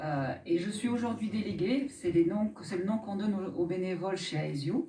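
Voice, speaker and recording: A woman with lively intonation talks at a moderate pace while background noise is noticeable. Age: 50s. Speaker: association director and mutual insurance delegate. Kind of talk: mock trial testimony. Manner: formal.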